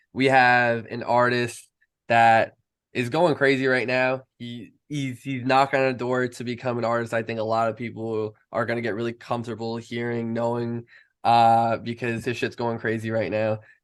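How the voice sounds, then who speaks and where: Monotone, flat delivery with a New York accent over a quiet background. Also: man, medium pitch for a man, moderate pace. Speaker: podcast host. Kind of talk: casual interview.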